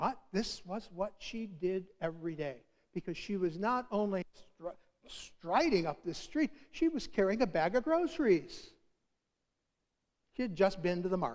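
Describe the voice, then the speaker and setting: A man speaks at a high pitch and a moderate pace. His pitch swings very widely, and he leaves long, frequent pauses. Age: 60s. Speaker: preacher. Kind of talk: sermon.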